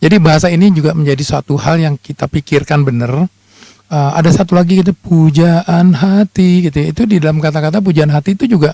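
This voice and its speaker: Dry and close with no echo, a man talks at a very fast pace and a fairly high pitch with ordinary pitch variation. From Jakarta, Minang parents. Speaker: lawyer and musician. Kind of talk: radio interview.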